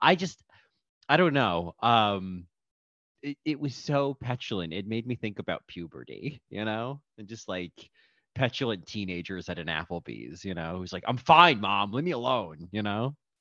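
Recorded dry and close with no echo against a quiet background, a man speaks at a moderate pace in a fairly low, bright, sharp voice, with very wide pitch swings and big swings in loudness. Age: 30s. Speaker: podcast host. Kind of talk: casual chat.

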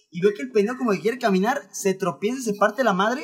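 The pace is very fast. A man speaks with ordinary pitch variation. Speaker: podcast co-host. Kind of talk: casual chat. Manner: animated.

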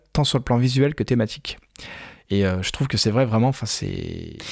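A man with an ordinary speaking voice, pitched in the medium range, delivers his words at a moderate pace and varies his pitch in an ordinary way. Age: 30s. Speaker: film podcast host. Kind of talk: casual chat.

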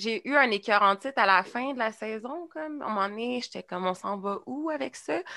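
In a Quebec accent, a woman with a bright, sharp tone speaks at a moderate pace with lively intonation and hardly any pauses. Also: quiet background. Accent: Québécois French. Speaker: podcast host. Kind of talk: casual chat.

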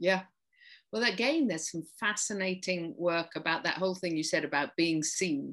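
A woman with an English accent speaks at a fairly low pitch. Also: ordinary pitch variation, moderate pace, quiet background. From England, rural farming community. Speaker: occupational therapist and play therapist. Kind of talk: interview.

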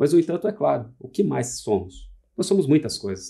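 This man has a dark, mellow tone with vocal fry. He talks at a fairly quick pace with lively intonation. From Santa Catarina, southern Brazil. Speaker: furniture designer and architect. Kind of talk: casual chat. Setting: studio. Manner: formal.

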